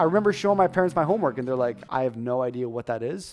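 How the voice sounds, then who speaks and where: Over music in the background, a man at a medium pitch talks at a very fast pace with lively intonation. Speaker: stuttering and public speaking coach. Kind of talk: casual talk to camera.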